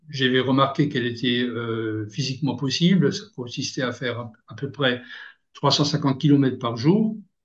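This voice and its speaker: A man talks at a fairly slow pace in a somewhat breathy voice, his intonation fairly even. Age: 60s. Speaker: long-distance cyclist. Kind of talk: interview. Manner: halting, many hesitations.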